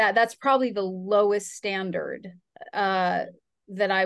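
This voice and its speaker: This woman has an ordinary speaking voice at a medium pitch. She speaks at a fairly slow pace with fairly even intonation against a quiet background. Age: 40s. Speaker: fitness coach and podcast host. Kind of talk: casual chat.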